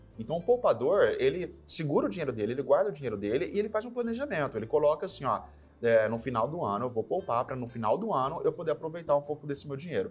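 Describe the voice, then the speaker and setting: A man's fairly high voice at a very fast pace, with very wide pitch swings, hardly any pauses and music in the background. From São Paulo state, Brazil (São José do Rio Preto). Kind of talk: interview. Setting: studio.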